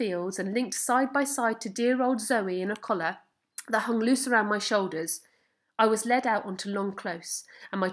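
Quiet background behind a natural reading voice, pitch varying in an ordinary way

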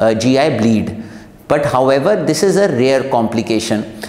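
A man talks fairly slowly, and the room's echo can be heard. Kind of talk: medical explainer to camera. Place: studio.

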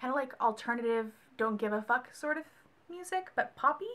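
A woman's raised, projected voice, high in pitch, with very wide pitch swings. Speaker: book vlogger. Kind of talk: casual vlog monologue. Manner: fast talker; animated. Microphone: phone near.

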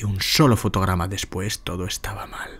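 Somewhat breathy and fairly low-pitched, a man speaks at a fairly slow pace. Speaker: narrator. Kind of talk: ghost story telling, scripted horror narration. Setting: audio recording with sound design, best heard on headphones. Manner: intimate, directly addressing the listener as a guide.

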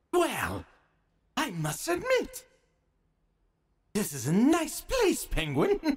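A put-on character voice delivers its lines at a high pitch and a very slow pace. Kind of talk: audio drama performance. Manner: mocking, playful.

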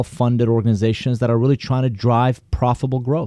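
With a Persian accent, a man speaks at medium pitch in a dark, mellow tone. The sound is dry and close with no echo, over a quiet background. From Iran. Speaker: business consultant and author. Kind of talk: interview.

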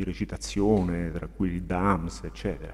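Pitched very deep and low, a man talks at a fairly quick pace with very wide pitch swings. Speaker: interviewer, web TV host. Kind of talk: interview questions. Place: home room. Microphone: earbuds.

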